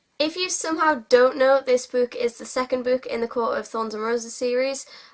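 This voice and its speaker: Speaking at a fairly quick pace with a British accent, a woman uses a high pitch, ordinary pitch variation and big swings in loudness. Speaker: book vlogger. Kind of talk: casual monologue to camera.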